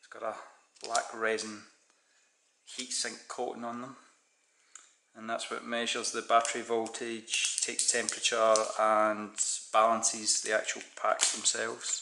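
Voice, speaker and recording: A man's monotone, flat delivery at a moderate pace, with long, frequent pauses and noticeable background noise. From Scotland. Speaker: DIY hobbyist YouTuber. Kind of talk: unboxing video, casual; casual unboxing commentary. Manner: casual, conversational. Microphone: phone near.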